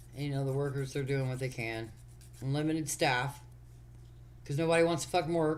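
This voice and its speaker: A fairly quick pace broken by long, frequent pauses. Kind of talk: casual chat. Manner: loud.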